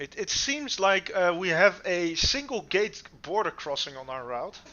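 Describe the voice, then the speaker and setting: Speaking fairly slowly with a Dutch accent, a man uses a high pitch with very wide pitch swings and big swings in loudness. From Netherlands. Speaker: streamer. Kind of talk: casual chat. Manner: halting.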